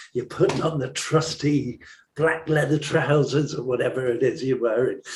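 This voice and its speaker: A man at a moderate pace, with a fairly high pitch, fairly even intonation and a somewhat breathy voice. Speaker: songwriter and musician. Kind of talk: interview.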